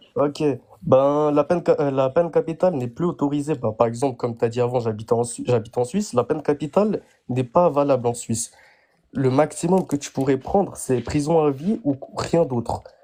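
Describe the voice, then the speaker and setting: A man with a slight Geneva accent, fairly high in pitch with a dark, mellow tone, ordinary pitch variation and a fairly quick pace. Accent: slight Geneva-area Swiss French. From Turkish family, lives in Switzerland. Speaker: live-stream participant. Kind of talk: debate. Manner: halting.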